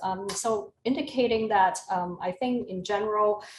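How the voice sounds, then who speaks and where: A woman's somewhat breathy, medium-pitched voice with ordinary pitch variation. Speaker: psychology professor. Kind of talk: casual chat. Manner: hesitant, many fillers.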